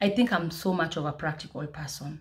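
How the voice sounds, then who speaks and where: Over noticeable background noise, a woman with a very deep, low pitch speaks in a somewhat breathy voice with ordinary pitch variation. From Kenya, South Nyanza; Kenya. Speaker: food business owner and vlogger; vlogger. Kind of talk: motivational vlog. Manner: fast. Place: home room. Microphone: phone near.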